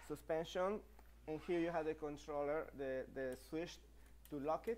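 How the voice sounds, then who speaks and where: A man with a Spanish accent talks at a moderate pace, his fairly high pitch held in fairly even intonation. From Mexico. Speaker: e-bike company partner and presenter; presenter. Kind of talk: live stream product presentation. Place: studio.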